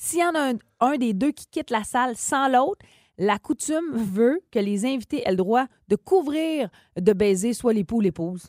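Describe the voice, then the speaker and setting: A woman's high voice with very wide pitch swings at a fairly slow pace, dry and close with no echo, in a very clean recording with a silent background. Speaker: morning radio co-host. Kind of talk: casual radio chat.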